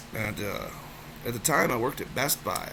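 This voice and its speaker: A man speaks amid noticeable background noise. Room echo is audible. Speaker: storyteller vlogger. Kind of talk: personal storytelling monologue. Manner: halting, many repetitions and fillers.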